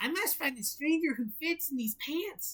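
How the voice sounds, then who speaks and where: Using a put-on character voice, a woman talks at a high pitch. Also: moderate pace. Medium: read story. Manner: cheerful, folksy.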